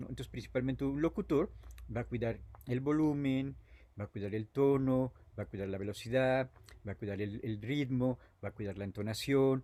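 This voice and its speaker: His voice is dark and mellow, at a medium pitch with ordinary pitch variation, and the man talks at a moderate pace. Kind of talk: explanatory, instructive. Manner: didactic, demonstrating.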